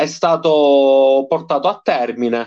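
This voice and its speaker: The speaker is a man whose voice sits fairly high in pitch. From Sicily, province of Palermo. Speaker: professional wrestler. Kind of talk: casual interview.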